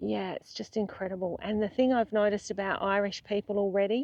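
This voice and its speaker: A woman with an Australian accent at a moderate pace, in a dry, close sound with no echo. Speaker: travel vlogger. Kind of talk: casual vlog chat. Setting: outdoors. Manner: animated.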